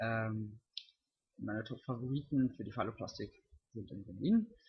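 A man is speaking. His voice is somewhat breathy, with ordinary pitch variation. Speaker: vlogger. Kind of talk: casual vlog monologue. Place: home room. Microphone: webcam.

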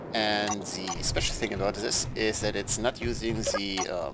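Against noticeable background noise, a man with a fairly low pitch talks at a moderate pace in a relaxed tone. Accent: non-native. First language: not English. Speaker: game tutorial creator. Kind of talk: video game tutorial narration. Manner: casual, relaxed.

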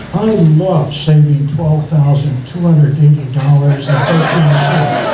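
Amid loud background noise and audible room echo, a man speaks at a fairly slow pace. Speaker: stand-up comedian. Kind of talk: stand-up comedy set. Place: stage.

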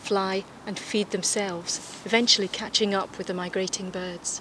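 Noticeable background noise runs under a woman's medium-pitched voice, which has a warm tone and a moderate pace. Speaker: TV presenter trainee. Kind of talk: nature documentary narration, scripted outside broadcast piece to camera. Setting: outdoors. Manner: clear, warm, polished presenter delivery; upbeat, engaging, lightly wry.

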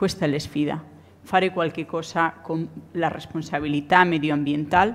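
A woman speaks with a strong Spanish accent. Her intonation stays fairly even. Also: fairly low pitch for a woman, moderate pace. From Spain. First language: Spanish (speaking Italian). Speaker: architect and professor; professor. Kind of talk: conference talk. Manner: halting. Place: hall. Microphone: podium.

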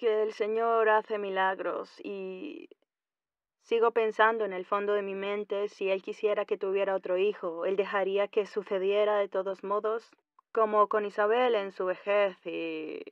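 A woman's unremarkable speaking voice at medium pitch, fairly slow, with fairly even intonation. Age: 40s. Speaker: caller. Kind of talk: phone-in question.

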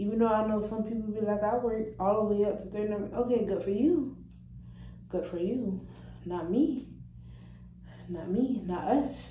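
Moderate pace with long, frequent pauses, ordinary pitch variation, audible room echo and light background noise. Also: woman. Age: young. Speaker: vlogger and restaurant server. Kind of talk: casual vlog monologue. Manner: casual, rambling, repetitive. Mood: relaxed, playful. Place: bathroom. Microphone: phone near.

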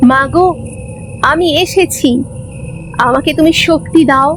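A woman puts on a shrill character voice, high in pitch, at a fairly slow pace. Clear background noise runs beneath her. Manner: shrieking, frenzied.

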